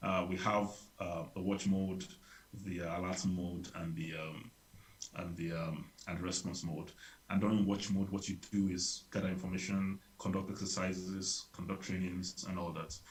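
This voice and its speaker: A man's very deep, low, somewhat breathy voice in a monotone, flat intonation. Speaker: public health advisor. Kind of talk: workshop presentation. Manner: fast; hesitant with many fillers.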